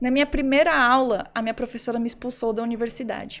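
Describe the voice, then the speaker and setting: A woman speaks at a moderate pace. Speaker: violinist and entrepreneur. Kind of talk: interview conversation.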